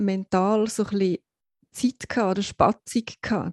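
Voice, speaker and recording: The voice is somewhat breathy, with fairly even intonation and a moderate pace, and the sound is dry and close with no echo. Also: woman. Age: 40s. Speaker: podcast co-host. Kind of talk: personal testimony.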